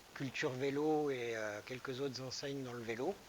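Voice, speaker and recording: Fairly even in intonation, a man talks at a medium pitch and a fairly slow pace. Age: 60s. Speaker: running shop manager. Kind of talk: interview. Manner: hesitant, many fillers.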